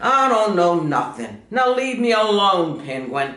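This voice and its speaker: A man's put-on character voice, croaky and high-pitched, with very wide pitch swings, a fairly slow pace and slight echo. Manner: curt, dismissive.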